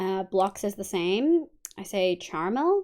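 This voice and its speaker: The voice moves at a fairly slow pace with lively intonation, on a very clean recording with a silent background. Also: woman. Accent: Australian. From Australia. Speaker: vtuber streamer. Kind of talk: casual live-stream chat while gaming. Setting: live stream.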